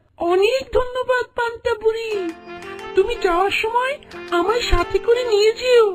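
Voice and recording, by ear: A cartoonish character voice at an extremely high pitch and a fairly slow pace, with faint music in the background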